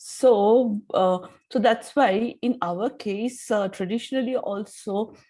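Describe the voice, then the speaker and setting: Very slowly and with an Indian accent, a woman speaks in a fairly high pitch with a dark, mellow tone and fairly even intonation. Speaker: audience member. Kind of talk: asking a question.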